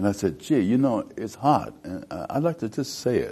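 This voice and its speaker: Speaking at a moderate pace, a man uses lively intonation and a dark, mellow tone. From United States. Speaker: actor. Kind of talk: interview answer. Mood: warm, reminiscing, animated. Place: studio. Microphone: lapel.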